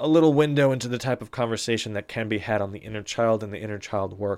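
A man with an unremarkable speaking voice, ordinary pitch variation, and a very clean recording over a silent background. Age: 20s. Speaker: podcast host. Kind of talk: solo podcast monologue. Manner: conversational with frequent fillers.

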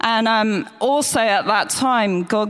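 A woman with an English accent speaks at a fairly slow pace with fairly even intonation, amid noticeable background noise. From England, near the church. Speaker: church member giving testimony. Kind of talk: testimony. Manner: halting.

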